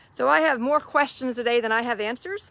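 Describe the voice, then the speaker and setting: A woman with a slight Southern US accent, fairly high pitch, warm tone and ordinary pitch variation, on a very clean recording with a silent background. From US South. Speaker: faith-based online mentor. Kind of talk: live stream talk to viewers. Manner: warm, conversational.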